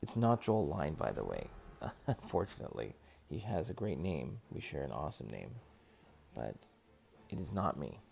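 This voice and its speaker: The quiet voice has vocal fry and very wide pitch swings, moving at a moderate pace with long, frequent pauses. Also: man, very deep, low pitch for a man. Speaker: gaming streamer. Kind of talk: live gaming stream chat. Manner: quieter, lower voice at night; halting, many fillers.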